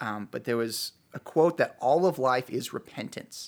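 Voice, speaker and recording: In a normal speaking voice, a man with an American accent talks at a medium pitch with lively intonation. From US Midwest, Chicago. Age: 30s. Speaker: youth pastor. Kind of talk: casual chat.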